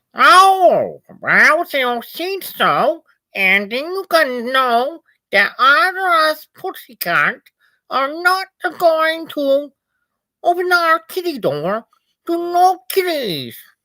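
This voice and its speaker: Speaking at a very slow pace, a man uses a put-on character voice at an extremely high pitch in a very clean recording with a silent background. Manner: cutesy, drawn-out cat speech.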